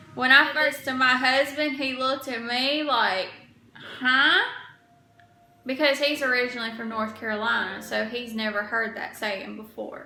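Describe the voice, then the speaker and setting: Over noticeable background noise and audible room echo, a woman with a Georgia accent uses a raised, projected voice, high in pitch, at a moderate pace with ordinary pitch variation. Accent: Southern US, Georgia. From US South, Georgia. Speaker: vlogger. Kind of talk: casual vlog.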